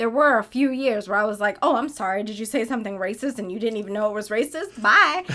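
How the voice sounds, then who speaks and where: The delivery is very fast and animated. Background noise is noticeable. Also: woman, fairly high pitch for a woman, ordinary pitch variation. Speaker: podcast co-host. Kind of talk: casual chat. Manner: animated, laughs a lot.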